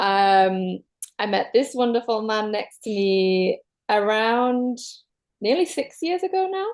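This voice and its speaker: A woman with a Manchester accent speaks very slowly at a fairly high pitch, her voice making very wide pitch swings. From northern England, Manchester. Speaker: guest sharing relationship story. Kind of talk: personal testimony in an online circle.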